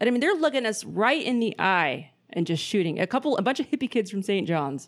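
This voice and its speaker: Speaking at a fairly quick pace with a Pacific Northwest accent, a woman's fairly high voice swings very widely in pitch while its loudness stays very even. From Portland, Oregon. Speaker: podcast host. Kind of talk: casual chat. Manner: profane, casual.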